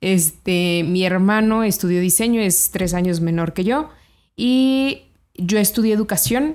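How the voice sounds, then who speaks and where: Her pitch is medium and varies in an ordinary way. The woman is recorded very cleanly against a silent background. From Mexico, Celaya, Guanajuato. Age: 30s. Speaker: financial educator and entrepreneur. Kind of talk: interview.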